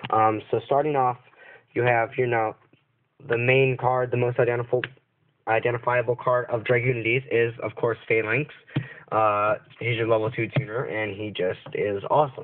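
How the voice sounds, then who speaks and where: A man speaks with monotone, flat intonation. His speech has long, frequent pauses. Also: medium pitch for a man, moderate pace. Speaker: card game deck reviewer. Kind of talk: tutorial. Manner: hesitant, many fillers.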